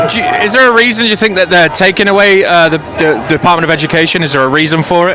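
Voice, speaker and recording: A high-pitched man at a very fast pace with hardly any pauses, plus audible room echo and noticeable background noise. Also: ordinary pitch variation. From Britain. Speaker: YouTube street interviewer and auditor. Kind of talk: street interview. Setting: outdoors at a protest. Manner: casual, conversational.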